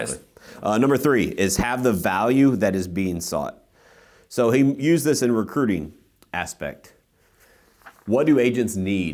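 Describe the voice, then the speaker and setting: A man with a medium pitch and vocal fry talks at a moderate pace in an animated tone, his lively intonation broken by long, frequent pauses. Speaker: podcast host and real estate team leader. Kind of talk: casual podcast chat.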